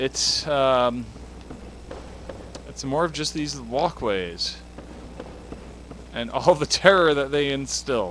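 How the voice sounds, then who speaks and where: The speech is very slow, broken by long, frequent pauses. Noticeable background noise sits behind it. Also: man. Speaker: gaming video creator. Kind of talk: let's play commentary. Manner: quiet.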